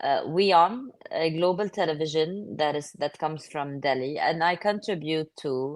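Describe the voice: A woman speaks in a low voice. Her pace is fairly slow.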